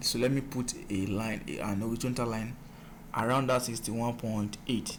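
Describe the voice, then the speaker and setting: There is audible room echo around a man speaking at medium pitch. He keeps a moderate pace and fairly even intonation. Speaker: forex trading mentor. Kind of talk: tutorial.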